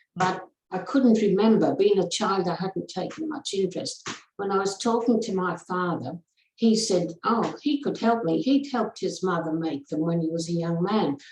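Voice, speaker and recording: At a moderate pace, a woman speaks in a medium-pitched, somewhat breathy voice with lively intonation. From northeast England, moved to Australia at 13. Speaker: rug maker and author. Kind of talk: interview.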